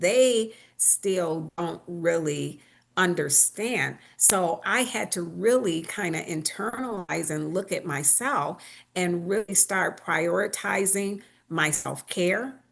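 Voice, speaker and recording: A woman talks very slowly, her fairly low pitch showing ordinary pitch variation. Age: 60s. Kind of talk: panel discussion.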